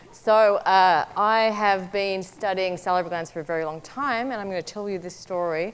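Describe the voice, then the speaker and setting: A woman speaks with an Australian accent. Her pitch sits in the medium range. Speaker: biomedical researcher. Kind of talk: research talk. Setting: stage with audience.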